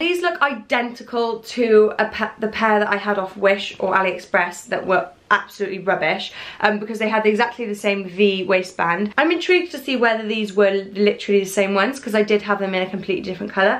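Speaking very rapidly, a woman lets her pitch shift in a typical way. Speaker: fashion vlogger. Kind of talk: casual vlog chat, product review. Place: home room. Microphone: camera far.

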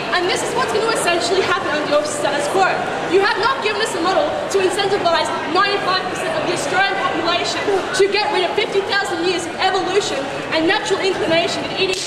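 A woman talking at a very fast pace, audible room echo, crowd noise in the background. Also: ordinary pitch variation. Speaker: student debater. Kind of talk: debate speech. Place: street.

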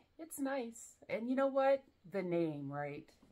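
A woman with an American accent has a dark, mellow tone and very wide pitch swings. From US South. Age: 40s. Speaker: fragrance reviewer. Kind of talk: casual chat. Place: home room. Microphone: camera far.

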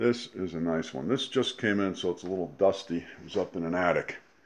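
A man talks while noticeable noise carries on behind him. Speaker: seller showing vintage items. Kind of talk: casual vlog chat. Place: home room. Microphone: phone near.

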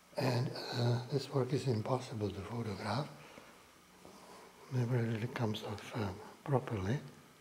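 A man at a moderate pace, with fairly even intonation, against noticeable background noise. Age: 70s. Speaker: painter. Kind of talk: gallery tour talk. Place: hall. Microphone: phone near.

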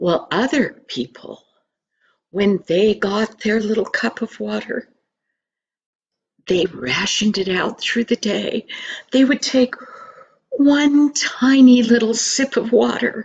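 A woman speaks at a very slow pace with ordinary pitch variation. Light background noise sits behind her. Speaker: storyteller. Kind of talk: storytelling. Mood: earnest, expressive. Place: home room. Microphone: webcam.

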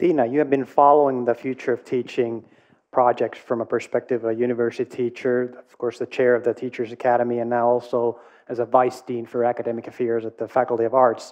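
Speaking fast with few pauses, a man uses a slightly mellow, medium-pitched voice with little pitch movement.

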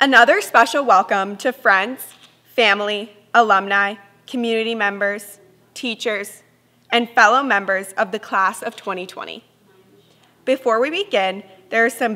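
Speaking at a fairly slow pace, a woman has a bright, sharp tone and ordinary pitch variation. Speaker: student council president. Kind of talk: ceremony speech. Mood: formal, warm. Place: stage.

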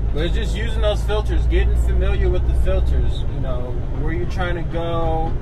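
A man at a fairly slow pace against loud background noise. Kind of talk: casual vlog chat. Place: car.

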